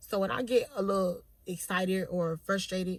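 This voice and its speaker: Her tone animated, a woman speaks. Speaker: vlogger. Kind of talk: casual monologue. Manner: loud.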